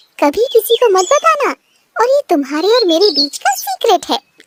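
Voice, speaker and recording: A woman's squeaky, cartoonish character voice with very wide pitch swings at a moderate pace. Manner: warm, gentle, motherly.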